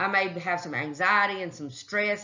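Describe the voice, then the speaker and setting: A woman's voice at medium pitch with ordinary pitch variation, carrying audible room echo. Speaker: phlebotomy instructor. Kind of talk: recorded lecture. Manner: casual conversational.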